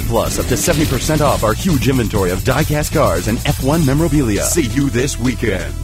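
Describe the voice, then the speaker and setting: A man at a very fast pace with hardly any pauses, in a dry sound with no echo and clear music in the background. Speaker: voice actor. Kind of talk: TV commercial read. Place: studio. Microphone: studio mic.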